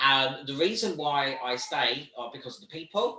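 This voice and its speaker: With a British accent, a man talks at a fairly high pitch and ordinary pitch variation. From Britain. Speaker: volunteer organisation leader and trainer. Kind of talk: online training talk.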